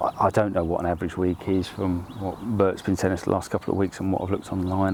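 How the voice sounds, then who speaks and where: Very fast, flat, monotone delivery over noticeable background noise. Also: man. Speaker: angler vlogger. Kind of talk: casual vlog narration. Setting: outdoors.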